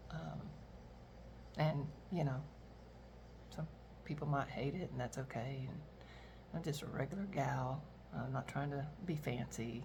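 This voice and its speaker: A woman's very deep, low voice, with long, frequent pauses and audible room echo. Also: ordinary pitch variation. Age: 60s. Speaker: retiree and reseller vlogger. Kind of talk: casual monologue vlog. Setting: at home, kitchen. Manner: rambling, many fillers.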